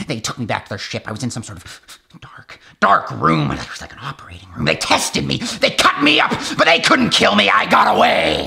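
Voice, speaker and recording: A man with a raspy voice at medium pitch talks at a fairly quick pace. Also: big swings in loudness. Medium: short film. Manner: excited, rambling, paranoid.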